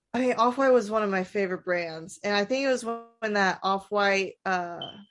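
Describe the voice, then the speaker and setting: Over background music, a woman talks at a fairly quick pace with medium pitch and ordinary pitch variation. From US South. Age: 20s. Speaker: sneaker shop owner. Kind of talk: casual chat. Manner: halting.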